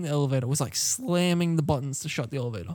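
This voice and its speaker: Over a silent background on a very clean recording, a man with an Australian accent speaks at a very fast pace with ordinary pitch variation. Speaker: podcast co-host. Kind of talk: casual chat.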